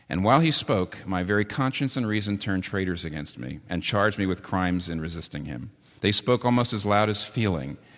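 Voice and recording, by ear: Someone is reading aloud in a natural voice.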